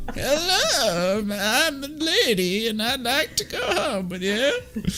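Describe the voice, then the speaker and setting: A man puts on a character voice, pitched extremely high, speaking at a fairly slow pace over clear background noise. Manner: flirty, tipsy-sounding.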